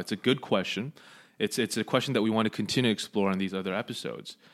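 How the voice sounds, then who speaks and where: Very fast speech with an American accent and fairly even intonation. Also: man. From Los Angeles, Southern California. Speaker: podcast co-host and seminary student. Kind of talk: casual chat; lecture.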